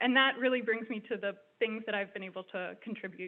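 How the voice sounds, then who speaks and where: A woman talks at a very fast pace with a fairly high pitch. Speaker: graduate student fellow. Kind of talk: graduation speech. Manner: soft-spoken.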